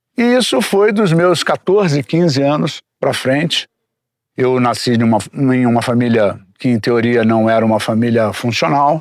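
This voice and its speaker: A man with an unremarkable speaking voice uses lively intonation and keeps a very even loudness. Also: medium pitch for a man. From Brazil, Rio de Janeiro. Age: 60s. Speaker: recovering addict sharing his story. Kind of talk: testimony. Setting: outdoors in the forest.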